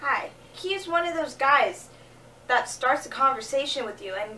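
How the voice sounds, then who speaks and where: A woman with a high pitch talks at a fairly slow pace with lively intonation. Noticeable background noise is present. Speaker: vlogger. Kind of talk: casual talk to camera. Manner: low energy.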